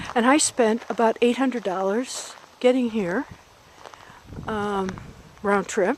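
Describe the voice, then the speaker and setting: Amid noticeable background noise, a woman with a fairly high pitch talks very slowly with long, frequent pauses. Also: ordinary pitch variation. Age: 60s. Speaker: video blogger. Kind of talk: casual vlog monologue. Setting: outdoors.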